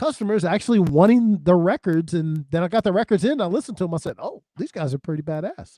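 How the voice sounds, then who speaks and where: A man with a dark, mellow tone talks at a fairly quick pace in a dry, close sound with no echo. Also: quiet background. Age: 60s. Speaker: music podcast panelist and record seller. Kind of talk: casual chat.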